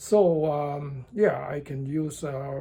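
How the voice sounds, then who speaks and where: Somewhat breathy, a man with a Chinese accent speaks at a fairly high pitch in a dark, mellow tone. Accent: non-native English, Chinese. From southern China (Cantonese-speaking). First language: Cantonese. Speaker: driving and tai chi instructor, vlogger. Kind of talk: casual vlog monologue. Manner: slow, halting with many fillers.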